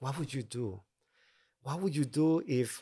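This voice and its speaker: In a Honduran accent, a man speaks at a moderate pace and fairly high pitch with ordinary pitch variation. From Honduras (Tegucigalpa). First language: Spanish. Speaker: mission agency president. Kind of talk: casual interview chat.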